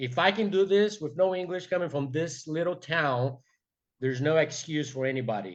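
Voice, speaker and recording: With a Brazilian accent, a man talks at a moderate pace with lively intonation over a quiet background. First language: Portuguese. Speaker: entrepreneur. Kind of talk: motivational talk. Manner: halting, many fillers; passionate.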